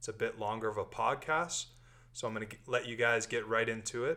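A man with a Canadian accent at a moderate pace, bright and sharp in tone, on a very clean recording with a silent background. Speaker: podcast host. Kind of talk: casual interview chat. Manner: relaxed, many fillers.

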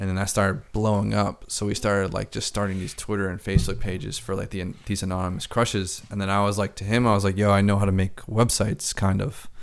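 A man talks at a very fast pace with hardly any pauses. His pitch is fairly low and his intonation fairly even. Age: 20s. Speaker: podcast host and music producer. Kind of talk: casual chat.

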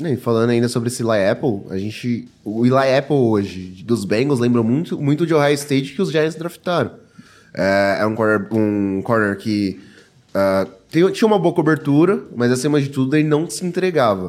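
A man speaks in a plain, everyday voice. His intonation is lively. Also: medium pitch for a man, moderate pace. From São Paulo, Brazil. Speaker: NFL podcast panelist. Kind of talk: sports analysis chat.

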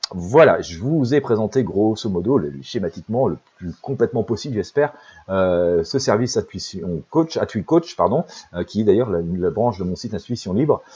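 Speaking at a moderate pace, a man with a fairly low pitch and a dark, mellow tone makes very wide pitch swings. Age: 50s. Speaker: intuitive life coach and psychic. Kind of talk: promotional monologue. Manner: halting, many fillers.

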